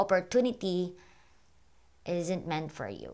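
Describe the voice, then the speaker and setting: A woman speaks at medium pitch with ordinary pitch variation. The recording is very clean, with a silent background. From Philippines, Iligan City (Mindanao). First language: Bisaya (Cebuano). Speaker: podcast host, aspiring content creator. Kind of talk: casual solo podcast monologue, code-switching English-Bisaya. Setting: home recording, corner of a room.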